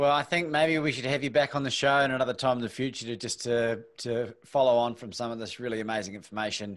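A man talks at a very fast pace with hardly any pauses, ordinary pitch variation, and a quiet background. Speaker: podcast host. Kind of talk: casual interview. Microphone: studio mic.

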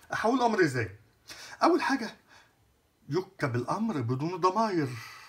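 Against a quiet background, a man with a high voice speaks at a moderate pace, his pitch swinging very widely and his speech broken by long, frequent pauses. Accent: Egyptian. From Egypt. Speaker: French teacher. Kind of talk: lecture. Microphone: phone near.

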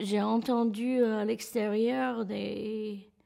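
A woman with an English accent and a dark, mellow tone against a quiet background. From California. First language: English (speaking French). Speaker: terror attack survivor. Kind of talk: testimony. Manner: halting. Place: studio.

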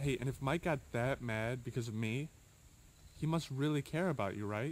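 A man speaks at a moderate pace with ordinary pitch variation. The sound is dry with no echo. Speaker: actor in amateur drama. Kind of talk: scripted dialogue. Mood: reassuring, earnest. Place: forest.

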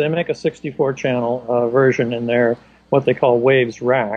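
A man speaks at a medium pitch with a slightly mellow tone and fairly even intonation. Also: moderate pace.

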